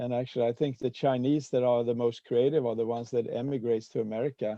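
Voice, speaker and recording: Very fast and monotone, a man speaks at a medium pitch with flat intonation. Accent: slight Swedish. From Sweden. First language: Swedish. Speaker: peace activist and Rotary speaker. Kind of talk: presentation with discussion. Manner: halting, many fillers.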